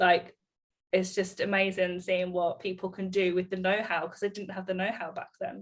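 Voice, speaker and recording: The woman's intonation is monotone and flat. She keeps a moderate pace. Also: medium pitch for a woman. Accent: English. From England, Bedfordshire. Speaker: salon owner and business mentor. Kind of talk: casual chat.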